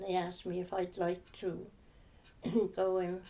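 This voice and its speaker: Speaking in a Herefordshire accent, a woman with a dark, mellow tone talks at a very slow pace in monotone, flat intonation. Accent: rural Herefordshire English. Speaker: former sawmill office worker. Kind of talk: oral history interview answer. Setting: home sitting room.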